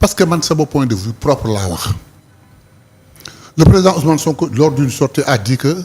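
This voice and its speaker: Over background music, a man talks at a fairly quick pace with a fairly high pitch and lively intonation. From Senegal, Saint-Louis. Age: 60s. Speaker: politician. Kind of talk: interview.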